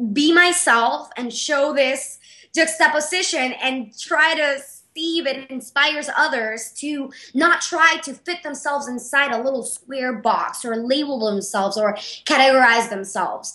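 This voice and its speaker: The raised, projected voice has a bright, sharp and energetic tone, lively intonation and a moderate pace. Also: woman. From Panama. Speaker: artist and business owner. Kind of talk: interview.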